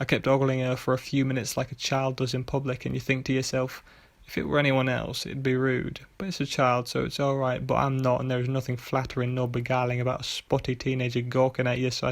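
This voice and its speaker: The voice is quiet, with monotone, flat intonation. It moves at a very fast pace. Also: man. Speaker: author and narrator. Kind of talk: short story reading. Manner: quiet, monotonous; fast in parts.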